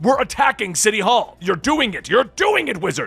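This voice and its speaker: A man uses a put-on character voice, high-pitched for a man. He keeps a moderate pace while faint music plays in the background. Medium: read story.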